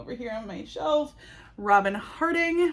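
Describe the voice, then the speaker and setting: Here is a woman with an ordinary speaking voice. Her intonation is lively and her pace fairly slow. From Wisconsin, US Upper Midwest. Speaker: book vlogger. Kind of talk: casual vlog book review. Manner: casual, filler-heavy.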